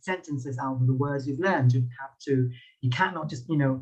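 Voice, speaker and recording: A man at medium pitch has a dark, mellow, somewhat breathy tone. He keeps a moderate pace and fairly even intonation. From Thailand. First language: Thai. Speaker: public speaking lecturer. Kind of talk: lecture. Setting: video call. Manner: halting.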